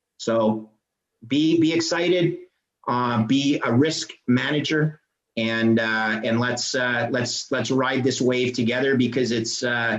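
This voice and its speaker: At a fairly slow pace, a man of medium pitch speaks with a Canadian accent. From Canada. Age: 50s. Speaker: bond trader and finance guest. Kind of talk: podcast interview. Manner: halting, many repeated words; animated.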